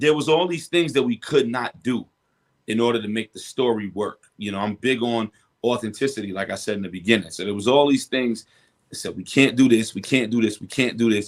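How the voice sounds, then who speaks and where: A man with a New York accent, medium pitch, ordinary pitch variation and a fairly quick pace. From Brooklyn, New York. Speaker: rapper. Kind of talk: interview.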